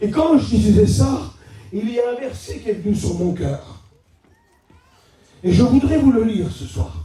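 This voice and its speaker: A loud man in an animated tone, at a fairly slow pace with long, frequent pauses and audible room echo. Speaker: preacher. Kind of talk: sermon.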